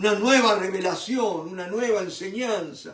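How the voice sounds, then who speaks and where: A man speaks at a fairly slow pace. His voice is high in pitch. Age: 70s. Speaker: preacher. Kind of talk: sermon. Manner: animated.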